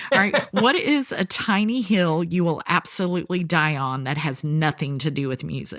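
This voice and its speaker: With a slight Southern US accent, a woman speaks in an animated tone at a fairly low pitch, her intonation lively. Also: moderate pace, hardly any pauses. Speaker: podcast host. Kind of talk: podcast interview. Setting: video call.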